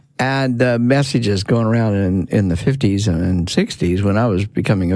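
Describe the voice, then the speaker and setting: A man's fairly low voice at a fairly quick pace, hardly any pauses, very even loudness, and noticeable background noise. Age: 60s. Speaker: founder of the show. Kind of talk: casual chat.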